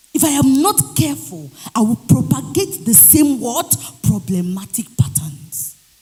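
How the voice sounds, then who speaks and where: Shouting over music in the background, a man speaks in a high voice with very wide pitch swings. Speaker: public speaker. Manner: tends to shout, consciously moderates volume.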